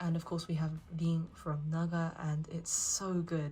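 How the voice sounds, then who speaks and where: Flat, monotone intonation against noticeable background noise. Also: woman. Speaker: anime merchandise collector and haul reviewer. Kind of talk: casual talk to camera.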